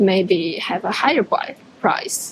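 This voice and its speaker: A woman in a Chinese accent, with noticeable background noise. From China. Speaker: international student. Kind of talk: casual street conversation. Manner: halting.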